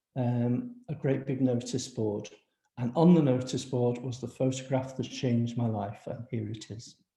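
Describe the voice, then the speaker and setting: With a Liverpool accent, a man speaks at a medium pitch in a dark, mellow tone. His voice is somewhat breathy, and his intonation stays fairly even. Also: moderate pace. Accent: Liverpool (Scouse). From Liverpool, England. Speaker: housing and regeneration professional. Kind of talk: panel talk with slides.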